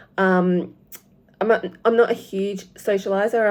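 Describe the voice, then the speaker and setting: On a very clean recording with a silent background, a woman with an Australian accent speaks at a fairly slow pace with fairly even intonation. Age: 50s. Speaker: cross-stitch vlogger. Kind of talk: casual vlog talk to camera. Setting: home. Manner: halting, many fillers.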